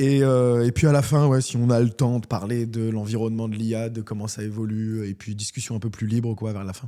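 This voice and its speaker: A man speaks at a fairly quick pace with hardly any pauses, his medium-pitched voice dark and mellow in tone and his intonation fairly even. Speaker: podcast host. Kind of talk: casual interview.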